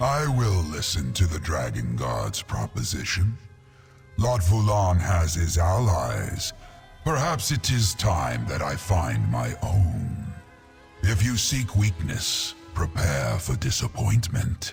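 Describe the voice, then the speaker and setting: Putting on a character voice, a man speaks fairly slowly in a very deep, low pitch with very wide pitch swings while clear music plays in the background. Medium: video game. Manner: grand, slow, lordly.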